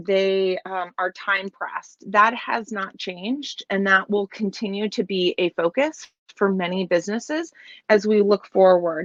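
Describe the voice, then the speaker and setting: Pitch variation is ordinary and the pace fairly slow. The sound is dry and close, with no echo. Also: woman. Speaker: keynote speaker, business executive. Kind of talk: keynote talk. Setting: video call from home office in trailer. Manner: loud; hesitant, many fillers.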